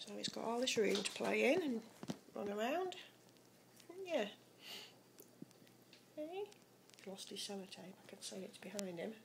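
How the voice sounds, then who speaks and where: A woman talks with long, frequent pauses and big swings in loudness. Noticeable background noise runs underneath. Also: moderate pace. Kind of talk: casual pet narration. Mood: fond, relaxed, amused. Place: kitchen. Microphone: phone near.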